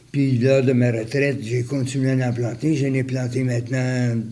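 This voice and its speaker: Against noticeable background noise, a man speaks at a medium pitch and a fairly slow pace in a monotone, flat intonation. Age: 80s+. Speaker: retired volunteer. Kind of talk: interview answer. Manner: hesitant, many fillers.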